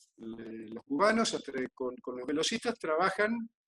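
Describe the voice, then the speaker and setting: A man's fairly high pitch moves through very wide swings. The sound is dry and close, with no echo. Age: 60s. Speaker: physical trainer. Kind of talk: interview. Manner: halting, with many repetitions.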